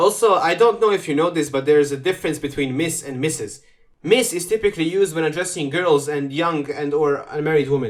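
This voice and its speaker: A fairly high-pitched man with a non-native accent at a fairly quick pace. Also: ordinary pitch variation. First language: not English. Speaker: reaction commentator. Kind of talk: reaction commentary. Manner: animated.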